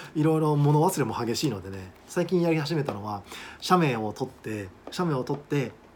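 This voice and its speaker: At a moderate pace and fairly high pitch, a man talks in a plain, everyday voice with lively intonation. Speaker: study abroad agent and English teacher. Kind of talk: monologue video talk. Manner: casual, with many fillers.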